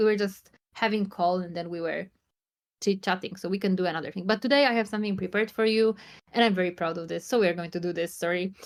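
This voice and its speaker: A woman speaks very fast at a medium pitch. Her intonation stays fairly even. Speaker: psychotherapist in training. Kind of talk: live online session talk. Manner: halting.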